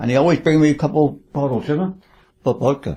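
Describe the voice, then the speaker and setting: A man's dark, mellow tone in a Cornish accent. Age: 80s+. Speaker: retired charter fishing skipper. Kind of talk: interview reminiscence. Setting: home lounge. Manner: halting with repeated words.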